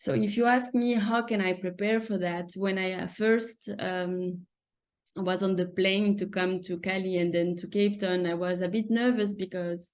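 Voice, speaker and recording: In a French accent, a woman speaks at a moderate pace and medium pitch with fairly even intonation. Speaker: surgical resident. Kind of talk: webinar presentation. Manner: halting.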